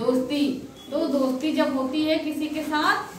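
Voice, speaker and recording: With light background noise and audible room echo, a woman speaks at a fairly slow pace with a high pitch. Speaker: teacher. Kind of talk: storytelling to children. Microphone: camera far.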